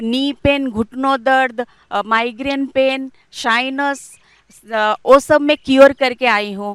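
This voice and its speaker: With a dry, close sound with no echo, a woman speaks in a high, monotone voice with flat intonation. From Cuttack, Odisha, India. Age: 40s. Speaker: scientist and yoga teacher. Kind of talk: testimony.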